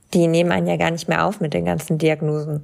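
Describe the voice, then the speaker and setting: The woman speaks at a fairly quick pace. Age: 20s. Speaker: content creator and model with chronic illness. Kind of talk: casual interview.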